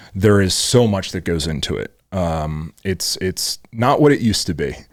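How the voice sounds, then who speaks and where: At a moderate pace, a man with an American accent talks in a very deep, low pitch. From Pennsylvania, US. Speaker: fashion designer and entrepreneur, podcast host. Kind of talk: casual chat. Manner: halting.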